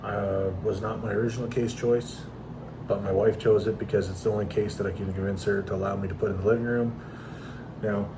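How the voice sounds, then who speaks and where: A man talks at a very fast pace in a fairly low pitch. Noticeable background noise and audible room echo fill the recording. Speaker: PC gaming content creator. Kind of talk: casual tutorial. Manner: unscripted, unedited.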